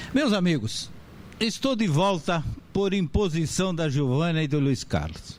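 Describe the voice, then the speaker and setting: A man speaks at a fairly slow pace in a high voice, his intonation lively. The room echo is audible, and his loudness stays very even. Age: 70s. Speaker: professor and author on legal writing. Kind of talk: lecture.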